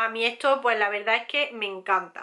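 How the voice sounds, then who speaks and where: A woman's bright, sharp voice at a fairly slow pace over a quiet background. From Spain. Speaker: beauty youtuber; beauty vlogger. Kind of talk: product haul review; casual vlog chat. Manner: hesitant, many fillers. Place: home room.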